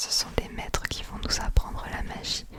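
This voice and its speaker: A woman is whispering at a fairly slow pace. There is noticeable background noise. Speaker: ASMR creator. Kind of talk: fantasy lore reading. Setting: binaural recording. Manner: whispered.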